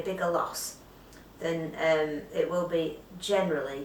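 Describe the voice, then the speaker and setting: A woman's voice is heard with audible room echo. Noticeable background noise is present too. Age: 50s. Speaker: weight loss vlogger. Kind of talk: casual vlog.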